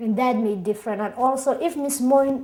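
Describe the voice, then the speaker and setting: A high-pitched woman speaks with a strong Somali accent. Her pace is fairly slow. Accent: thick Somali. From Somalia (Mogadishu). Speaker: immigrant interviewee, singer-songwriter. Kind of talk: oral history interview.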